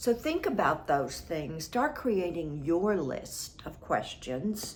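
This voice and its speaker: At a very slow pace, a woman with a fairly low pitch and vocal fry makes very wide pitch swings, with audible room echo around her. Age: 70s. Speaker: relationship advice vlogger. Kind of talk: advice monologue.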